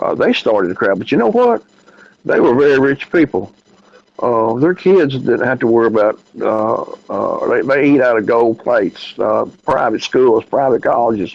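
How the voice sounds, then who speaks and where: A man talks in a Southern US accent. His pace is moderate. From US South, Memphis. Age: 60s. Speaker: podcast host. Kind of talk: casual chat. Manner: halting, many fillers.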